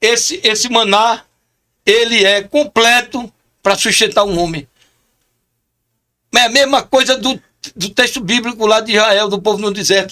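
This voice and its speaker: A man's raised, projected voice, high-pitched with a bright, sharp tone and an animated delivery, broken by long, frequent pauses. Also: ordinary pitch variation, fairly slow pace. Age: 60s. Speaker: chaplain. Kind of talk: podcast interview.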